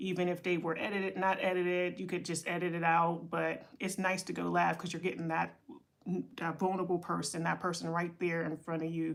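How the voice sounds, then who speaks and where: At a fairly quick pace, a woman with an American accent talks in a flat monotone at a fairly low pitch. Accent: Pittsburgh accent (noted by viewers). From Pittsburgh, Pennsylvania (US). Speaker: content creator and entrepreneurship coach. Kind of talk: casual livestream talk. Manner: rambling, with many fillers and restarts.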